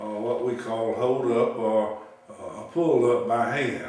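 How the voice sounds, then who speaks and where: Over noticeable background noise and audible room echo, a man with a South Carolina accent talks at a medium pitch. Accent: Southern US (South Carolina). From South Carolina, US South. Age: 70s. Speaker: farmer. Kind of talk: interview recollection. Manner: halting, many fillers.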